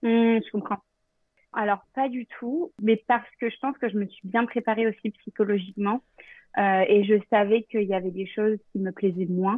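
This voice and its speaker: Fairly high-pitched woman, a plain, everyday voice, moderately paced, with ordinary pitch variation. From Normandy, France. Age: 30s. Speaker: travel planner. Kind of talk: casual interview.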